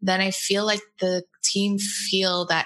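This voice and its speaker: A woman with an American accent speaks very slowly at a medium pitch, her tone bright and sharp and her intonation flat and monotone. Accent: sounds American. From Portugal. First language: Portuguese. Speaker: design agency co-founder. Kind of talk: interview.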